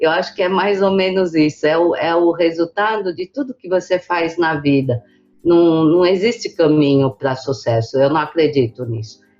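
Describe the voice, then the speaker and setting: A woman speaks in a plain, everyday voice with a fairly low pitch. Her intonation is lively. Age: 60s. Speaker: business association president. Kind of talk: interview.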